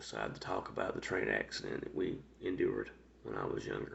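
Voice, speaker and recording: A quiet man with a Georgia accent at a moderate pace. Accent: US Southern (Georgia). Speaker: vlogger telling life story. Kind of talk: personal storytelling monologue. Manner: quiet, speaking low; halting, many fillers.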